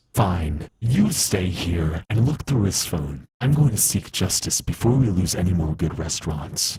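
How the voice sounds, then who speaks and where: Someone performs a put-on character voice with lively intonation. The pace is moderate, with hardly any pauses. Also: man, very deep, low pitch for a man. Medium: machinima. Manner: gruff, intense.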